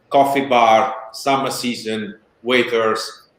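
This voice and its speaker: A man's medium-pitched voice with a strong Italian accent and fairly even intonation. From Italy. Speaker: spirits brand founder. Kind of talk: interview.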